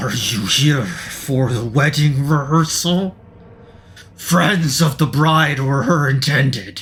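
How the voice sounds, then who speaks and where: A man growls through a put-on character voice, fairly high in pitch and at a very slow pace. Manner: welcoming yet eerie.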